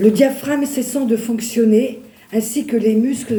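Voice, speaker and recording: A woman with a fairly high pitch is heard with audible room echo. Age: 60s. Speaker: churchgoer giving testimony. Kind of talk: testimony. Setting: church. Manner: halting.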